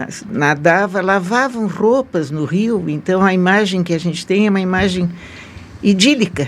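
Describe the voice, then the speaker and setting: A woman talks at a fairly slow pace with a medium pitch and ordinary pitch variation. Noticeable background noise is present. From southern Brazil, Santa Catarina (Nova Veneza). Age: 80s+. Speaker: retired journalist. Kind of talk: interview.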